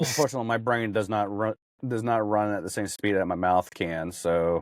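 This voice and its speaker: A man speaks at a fairly quick pace in a fairly low pitch. His pitch varies in an ordinary way. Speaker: podcast host. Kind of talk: casual chat. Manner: stumbling over words.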